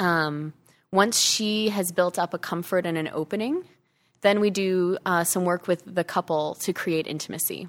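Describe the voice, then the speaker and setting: Recorded very clean with a silent background and a dry, close sound with no echo, a woman with an American accent has a normal speaking voice at medium pitch, moderate pace and fairly even intonation. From US Midwest, Chicago. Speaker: naturopathic doctor. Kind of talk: interview. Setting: studio.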